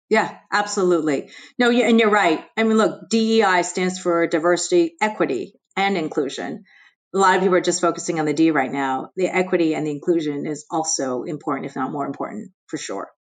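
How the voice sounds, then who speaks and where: A woman with a New Jersey accent, fairly low in pitch, against a quiet background. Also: ordinary pitch variation, fairly quick pace. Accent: American, New Jersey. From US Northeast, New Jersey. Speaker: investment executive. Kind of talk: interview.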